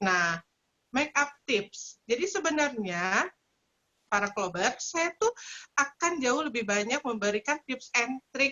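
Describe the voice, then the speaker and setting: Very slow delivery with very wide pitch swings and a slight Sundanese accent. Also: woman, high pitch for a woman. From West Java (Sundanese). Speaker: makeup trainer. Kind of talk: webinar tutorial.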